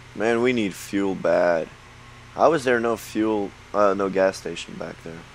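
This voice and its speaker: Background noise is noticeable as a man speaks at a fairly slow pace. His pitch is fairly low and varies in an ordinary way. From Belgium. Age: 20s. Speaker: gaming YouTuber. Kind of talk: let's play commentary. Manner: many filler words and restarts; animated.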